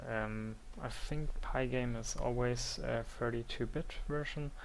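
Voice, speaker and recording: With a non-native accent, a man speaks at a fairly slow pace amid audible room echo. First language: not English. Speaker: software tutorial maker. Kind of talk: tutorial. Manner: halting, many fillers.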